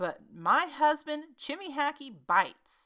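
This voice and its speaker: A woman uses a put-on character voice, high in pitch and fairly slow. The recording is very clean with a silent background. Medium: read story. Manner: flustered, chattering.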